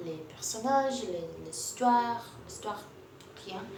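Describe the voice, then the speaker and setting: A woman with a Portuguese accent, very wide pitch swings, audible room echo and noticeable background noise. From Brazil. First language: Portuguese (speaking French). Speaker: booktuber. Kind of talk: casual vlog book review. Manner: halting, many hesitations and repetitions.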